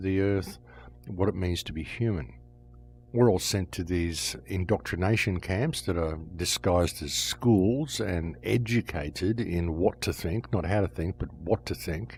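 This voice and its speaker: A man's very deep, low voice, somewhat breathy, with lively intonation and a moderate pace. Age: 60s. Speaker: podcast host. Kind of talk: monologue commentary.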